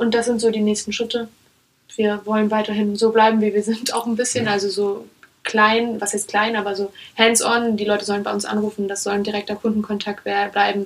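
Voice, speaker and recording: Talking at a fairly quick pace, a woman with a fairly high pitch keeps a monotone, flat intonation. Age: 20s. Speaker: startup founder. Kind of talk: interview.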